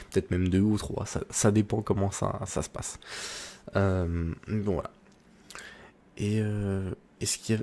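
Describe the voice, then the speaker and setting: A man speaks in a soft-spoken way. His tone is dark and mellow, and his pace fairly slow. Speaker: ASMR creator. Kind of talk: ASMR soft-spoken chat.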